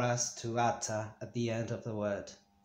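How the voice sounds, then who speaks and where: A man talks at a fairly slow pace. His voice carries audible room echo. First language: Spanish. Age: 40s. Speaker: Spanish teacher. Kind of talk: language lesson. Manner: halting, with many fillers.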